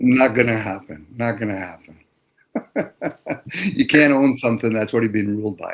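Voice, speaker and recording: A man talks at a medium pitch and a moderate pace, with ordinary pitch variation. His loudness swings widely, and he takes long, frequent pauses. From Canada, Toronto area. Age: 60s. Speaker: electrician, caller. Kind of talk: casual chat.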